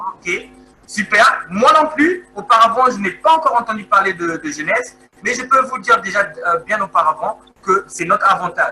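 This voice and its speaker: Using a raised, projected voice, a man speaks at a moderate pace in a high pitch with very wide pitch swings. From Congo. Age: 30s. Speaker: network marketing presenter. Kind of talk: sales pitch. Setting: video call. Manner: halting, many hesitations.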